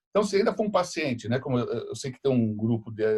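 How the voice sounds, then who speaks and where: This man's medium-pitched voice moves at a fairly quick pace and sounds somewhat breathy. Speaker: dentistry professor. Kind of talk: lecture. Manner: fast; halting.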